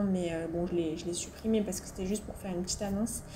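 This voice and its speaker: A woman speaks in a monotone, flat intonation. Noticeable background noise runs underneath. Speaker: motorcycle vlogger. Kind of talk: casual voice-over narration for a motovlog. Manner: chatty, hesitant.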